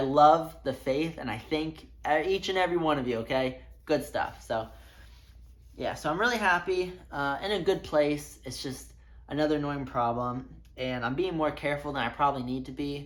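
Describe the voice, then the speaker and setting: With audible room echo, a woman speaks at a moderate pace in a very deep, low voice with ordinary pitch variation. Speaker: amateur runner vlogger. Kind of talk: casual vlog talk to camera.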